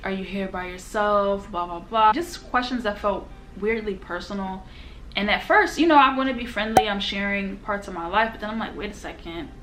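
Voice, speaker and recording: A woman with a medium-pitched voice talks at a fairly quick pace, with ordinary pitch variation. Her loudness swings widely, and the room echo is audible. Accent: American. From United States. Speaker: YouTuber, travel vlogger. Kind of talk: casual sit-down storytime. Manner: animated, conversational.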